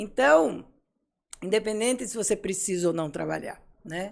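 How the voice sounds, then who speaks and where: At a moderate pace, a woman speaks with vocal fry and ordinary pitch variation. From Brazil, Pernambuco (Recife). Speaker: psychologist and psychoanalyst. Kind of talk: interview conversation.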